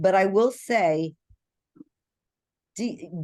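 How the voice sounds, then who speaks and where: A woman speaks fairly slowly, her pitch varying in an ordinary way, with the background quiet. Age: 60s. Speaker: graduate student. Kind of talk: class discussion. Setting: video call. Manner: halting.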